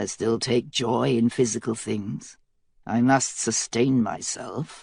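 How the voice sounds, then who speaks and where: A man's raspy put-on character voice, medium in pitch, at a fairly slow pace. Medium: read story. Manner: silky, calculating.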